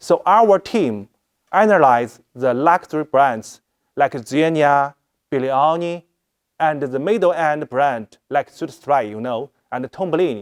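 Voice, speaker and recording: A man's fairly high voice in a Chinese accent, with lively intonation and a fairly slow pace, recorded dry and close with no echo. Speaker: fashion product director. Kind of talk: presentation. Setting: live stream. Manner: halting.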